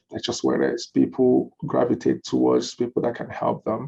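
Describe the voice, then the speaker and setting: A moderate pace in a Nigerian accent. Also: man. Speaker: lawyer and law firm owner. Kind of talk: webinar interview. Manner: animated.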